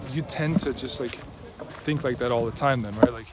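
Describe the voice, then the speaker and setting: A man speaks with a slight non-native accent at medium pitch, with ordinary pitch variation. Noticeable background noise can be heard. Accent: slightly American-tinged non-native English. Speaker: mentor and video creator. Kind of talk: casual personal monologue. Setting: outdoors in a park. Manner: hesitant, many fillers and restarts.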